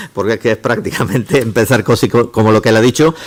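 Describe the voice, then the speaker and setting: A man speaks at a very fast pace. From Córdoba, Andalusia. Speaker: engineering professor. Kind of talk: lecture. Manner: halting, many false starts.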